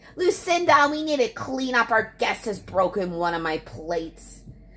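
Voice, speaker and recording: Over music in the background, a woman shouts in a shrill, put-on character voice with a fairly high pitch, very wide pitch swings and a moderate pace. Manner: screaming, scolding.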